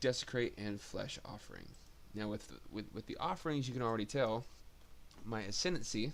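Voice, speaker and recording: A man's fairly low voice with vocal fry, at a moderate pace. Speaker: gaming video creator. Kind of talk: game build tutorial. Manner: halting, many fillers.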